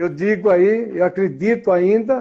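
A man talks with a high pitch and a dark, mellow tone. His pitch varies an ordinary amount. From Brazil, São Paulo. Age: 70s. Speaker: classic car collector. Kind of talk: casual interview.

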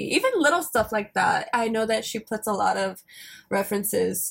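A woman with an American accent speaks at a moderate pace. Her pitch is fairly high, with vocal fry. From US South, rural Alabama. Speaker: podcast co-host. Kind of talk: casual chat.

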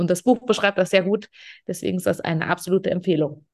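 The speaker is a woman. Her pitch sits fairly low. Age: 30s. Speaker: podcast host, organizational development coach. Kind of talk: casual chat.

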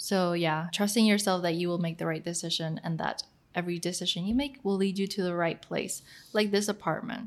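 A woman's ordinary speaking voice at medium pitch, fairly quick and with ordinary pitch variation, on a very clean recording with a silent background. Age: 20s. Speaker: podcast co-host. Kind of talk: casual chat.

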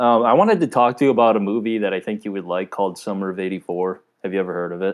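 A man with a fairly low voice talks at a very fast pace. His intonation is fairly even, and the background is quiet. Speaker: podcast co-host. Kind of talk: casual chat. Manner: monotone.

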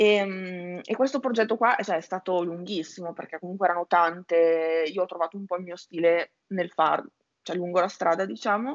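Her pitch is medium with ordinary variation as this woman speaks at a moderate pace. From Italy, Emilia-Romagna. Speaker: illustrator and graphic designer. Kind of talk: interview. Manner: hesitant, many fillers.

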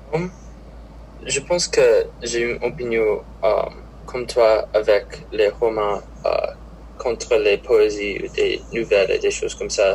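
The speech comes at a very slow pace in an English accent, broken by long, frequent pauses. Noticeable background noise runs underneath. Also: man. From Minnesota. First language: English (speaking French). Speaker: college student. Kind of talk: casual interview. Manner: halting.

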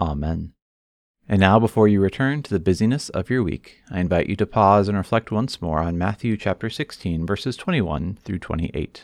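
In a normal speaking voice, a man with a fairly low pitch speaks at a fairly quick pace with lively intonation, the sound dry and close with no echo against a quiet background. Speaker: pastor. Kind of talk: sermon excerpt, guided prayer; fervent prayer, earnest and devotional. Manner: warm, pastoral.

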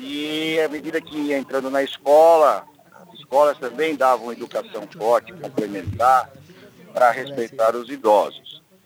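A man with a fairly high pitch speaks at a fairly slow pace, with ordinary pitch variation, big swings in loudness and noticeable background noise. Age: 60s. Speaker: engineer. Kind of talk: live radio interview. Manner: halting.

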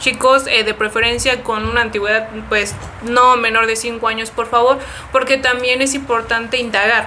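A woman's fairly high, monotone voice with flat intonation at a moderate pace, over noticeable background noise. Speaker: nurse researcher and content creator. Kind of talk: casual interview chat. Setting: in-person studio.

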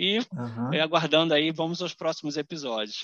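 A high-pitched male voice at a fairly quick pace, with ordinary pitch variation. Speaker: podcast host, English teacher. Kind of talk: interview.

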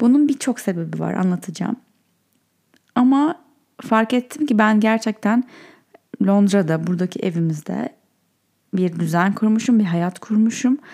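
Speaking at a fairly slow pace with long, frequent pauses, a woman uses a medium pitch, a dark, mellow tone, lively intonation and a somewhat breathy quality. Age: 30s. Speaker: podcast host. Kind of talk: casual solo monologue. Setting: in bed at night.

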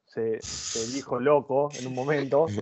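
A man has an unremarkable speaking voice at a fairly high pitch. He talks at a moderate pace with ordinary pitch variation. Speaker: podcast co-host. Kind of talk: interview.

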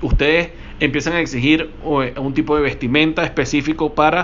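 A man speaks with a fairly high pitch and fairly even intonation. Noticeable background noise is present. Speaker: sports marketing podcast host. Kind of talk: interview.

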